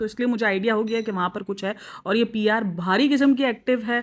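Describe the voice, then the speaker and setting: A normal speaking voice on a very clean recording, the background silent, the pitch varying in an ordinary way. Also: woman. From Pakistan. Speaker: YouTube reaction vlogger. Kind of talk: casual vlog commentary.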